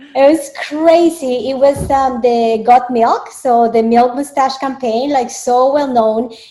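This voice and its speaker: A woman with a Spanish accent at a high pitch, very slow pace and hardly any pauses, over noticeable background noise. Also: fairly even intonation. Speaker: dietitian and media spokesperson. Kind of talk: interview. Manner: hesitant, many fillers.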